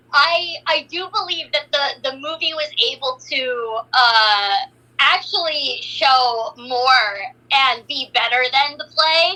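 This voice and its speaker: Against noticeable background noise, a woman with a high pitch uses a raised, projected voice and lively intonation. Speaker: voice actor. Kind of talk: casual interview chat.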